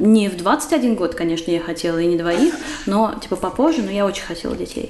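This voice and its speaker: A woman talks fairly fast with ordinary pitch variation, and noticeable background noise can be heard. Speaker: writer and poet. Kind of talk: casual chat. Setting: recorded at the host's home.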